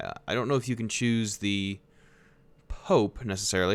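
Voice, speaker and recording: This man has a normal speaking voice, fairly low in pitch, with an American accent. He talks at a fairly quick pace with ordinary pitch variation. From United States. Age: 20s. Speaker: video game streamer. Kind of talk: live gameplay commentary. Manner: casual, conversational.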